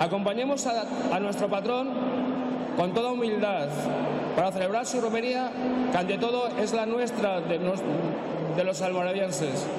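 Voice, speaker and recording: A man at a moderate pace, with long, frequent pauses and loud background noise. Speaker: member of the local brotherhood of the patron saint. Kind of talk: speech inviting townspeople to the pilgrimage. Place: hall. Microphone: podium.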